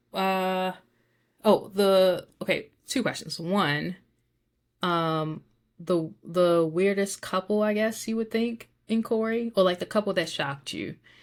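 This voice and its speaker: Very slow speech in a Baltimore accent with ordinary pitch variation. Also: woman, medium pitch for a woman, very clean recording, silent background. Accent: Baltimore City. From Baltimore, Maryland. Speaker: podcast co-host. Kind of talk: casual chat.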